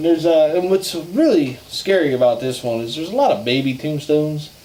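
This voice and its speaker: Through noticeable background noise, a man with a fairly high pitch speaks at a fairly quick pace with ordinary pitch variation. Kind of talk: casual talk to camera. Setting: outdoors.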